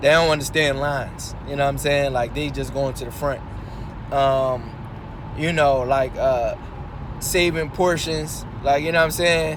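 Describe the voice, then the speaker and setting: A man with a fairly high voice speaks at a moderate pace in a monotone, flat intonation, with audible room echo and noticeable background noise. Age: young. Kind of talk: casual monologue while driving. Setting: in a car. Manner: casual, halting with many fillers.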